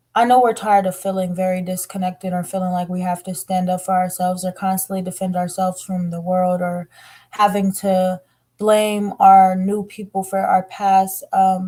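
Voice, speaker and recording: A somewhat breathy voice with a dark, mellow tone. It speaks at a moderate pace in a monotone, flat intonation. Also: woman. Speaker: tarot reader. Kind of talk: tarot reading monologue. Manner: emotional, earnest.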